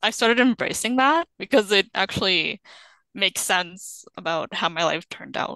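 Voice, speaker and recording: The voice has a bright, sharp tone and lively intonation at a moderate pace, with a dry, close sound with no echo and a quiet background. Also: woman. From Canada, arrived from Sudan at seven. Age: 20s. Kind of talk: interview.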